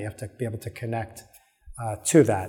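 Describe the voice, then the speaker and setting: A man speaks at a fairly quick pace in an American accent, with music playing in the background. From New York. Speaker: podcast host. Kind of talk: solo podcast monologue. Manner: casual, with many filler words.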